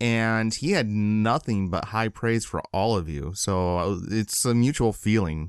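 A man with an American accent speaks in an ordinary speaking voice, fairly low with ordinary pitch variation, barely pausing, over a quiet background. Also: fairly slow pace. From Michigan. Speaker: podcast co-host. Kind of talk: casual interview.

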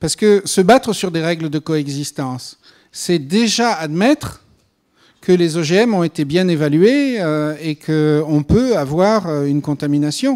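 A man at a fairly slow pace with lively intonation, over a quiet background. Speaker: panel speaker on GMO regulation; speaker. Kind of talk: panel discussion answer. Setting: conference hall with audience. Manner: hesitant with fillers. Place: hall. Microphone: handheld.

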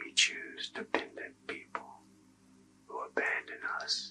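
Over music in the background, a man whispers at a very slow pace. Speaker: ASMR Reiki practitioner and academic. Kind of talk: ASMR Reiki healing session. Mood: calm, soothing. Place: home room.

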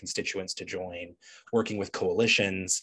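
Against a quiet background, the talking keeps a moderate pace. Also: man. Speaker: legislative lobbyist. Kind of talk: panel presentation. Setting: video call. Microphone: video call.

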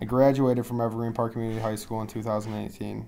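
A man with an American accent speaks at a medium pitch. His tone is dark and mellow, and his intonation is flat and monotone. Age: 20s. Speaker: student athlete. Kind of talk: self-introduction presentation.

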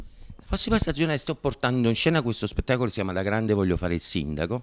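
A man talking at a very fast pace, very wide pitch swings, light background noise behind him. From Naples, Italy. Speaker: actor and comedian. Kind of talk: interview answer. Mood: relaxed, reflective. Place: studio. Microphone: handheld.

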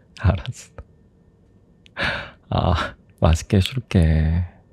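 Soft-spoken and somewhat breathy, a man talks very slowly at a very deep, low pitch, his tone dark and mellow, the sound dry with no echo. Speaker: boyfriend character in roleplay. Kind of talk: ASMR boyfriend roleplay. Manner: soft-spoken, affectionate. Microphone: studio mic.

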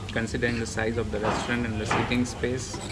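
A man talks fairly quickly while loud background noise goes on around him. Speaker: food vlogger. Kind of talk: casual vlog chat. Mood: relaxed, pleased. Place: cafe. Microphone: phone near.

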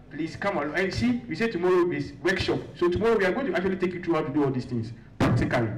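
High-pitched man at a very fast pace with lively intonation, amid noticeable background noise. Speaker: student leader and climate activist. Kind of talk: announcements at a conference. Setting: stage with audience.

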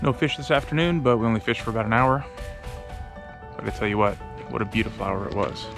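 Over clear background music, a man talks at a very fast pace, the sound dry with no echo. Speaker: angler vlogger. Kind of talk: casual vlog chat. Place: waterside. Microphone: phone near.

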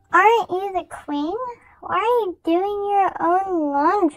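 An extremely high-pitched, put-on character voice goes along at a fairly slow pace. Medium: machinima.

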